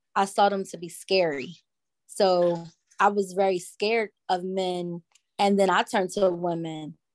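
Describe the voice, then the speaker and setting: The sound is dry and close, with no echo. A woman with a New Jersey accent speaks fairly slowly at a medium pitch, with fairly even intonation. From Newark, New Jersey. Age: 30s. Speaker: nonprofit founder and author. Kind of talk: testimony. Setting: video call.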